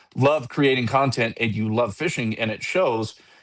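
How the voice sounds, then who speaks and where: Over a quiet background, a man speaks at a moderate pace in a medium-pitched voice with lively intonation. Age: 40s. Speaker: fishing company marketing manager and angler. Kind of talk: casual podcast chat. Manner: halting, repeats words often.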